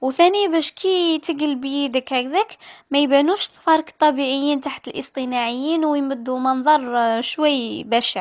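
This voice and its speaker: A speaker with an Algerian accent talks with ordinary pitch variation, recorded dry and close with no echo. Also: woman. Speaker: beauty youtuber. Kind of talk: beauty tutorial talk to camera. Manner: casual, chatty.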